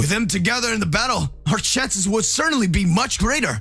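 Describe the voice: A man's put-on character voice, high for a man, bright and sharp in tone, with lively intonation, vocal fry and a fairly quick pace over faint background music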